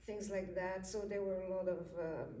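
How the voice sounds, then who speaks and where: Over noticeable background noise, a woman of medium pitch speaks at a fairly slow pace. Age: 80s+. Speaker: community college student. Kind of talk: interview answer.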